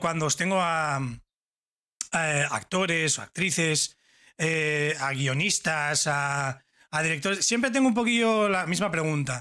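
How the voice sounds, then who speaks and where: A man's animated voice has a bright, sharp tone and ordinary pitch variation over a quiet background. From Spain. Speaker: YouTube interviewer. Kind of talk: casual interview. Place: home room. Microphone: studio mic.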